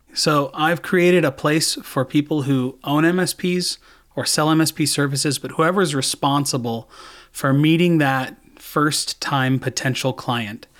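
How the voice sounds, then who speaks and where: A man with a Californian accent speaks at a fairly slow pace and fairly high pitch, with ordinary pitch variation. The recording is very clean and the background silent. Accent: Californian American. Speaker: sales coach. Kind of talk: interview.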